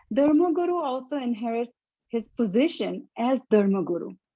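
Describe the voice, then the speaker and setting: A woman's high, dark, mellow voice with very wide pitch swings at a fairly slow pace. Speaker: translator presenting a teacher's talk. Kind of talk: prepared spiritual talk in translation. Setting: live stream / Zoom.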